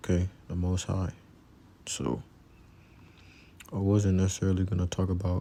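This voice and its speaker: A soft-spoken man talks at a moderate pace in a very deep, low voice with a dark, mellow tone and a monotone, flat intonation. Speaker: religious teacher. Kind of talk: religious lesson. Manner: casual.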